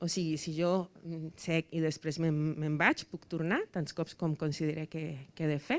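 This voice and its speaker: A woman with a Spanish accent, fairly low-pitched, at a very slow pace, in a dry, close sound with no echo. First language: Spanish (speaking Catalan). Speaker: debate moderator. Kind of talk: moderating a public debate. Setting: rooftop event with live audience. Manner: hesitant, many fillers.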